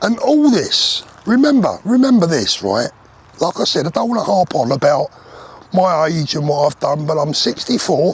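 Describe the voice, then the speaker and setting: A man with a British accent speaks at a high pitch for a man, with very wide pitch swings. Noticeable background noise is present. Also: moderate pace. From UK. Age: 60s. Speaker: vlogger. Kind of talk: casual monologue rant. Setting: outdoors, walking. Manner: animated.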